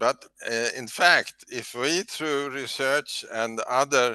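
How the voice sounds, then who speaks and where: This man's voice has a bright, sharp tone and ordinary pitch variation, recorded with a dry, close sound and no echo. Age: 80s+. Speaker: heat stress researcher. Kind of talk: webinar discussion. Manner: halting.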